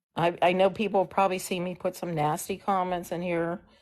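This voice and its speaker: In an ordinary speaking voice, a woman talks at a moderate pace and medium pitch against a quiet background. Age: 60s. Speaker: political activist caller on a livestream. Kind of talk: political discussion on a livestream.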